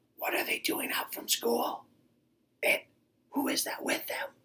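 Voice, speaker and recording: Someone whispers in a raspy, put-on character voice at a moderate pace. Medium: read story.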